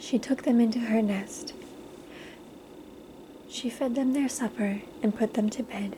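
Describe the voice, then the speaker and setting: Whispering and soft-spoken, the speaker goes at a fairly slow pace amid noticeable background noise. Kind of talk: ASMR bedtime story read aloud. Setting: quiet recording with page-turning sounds. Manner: soft-spoken, whispered.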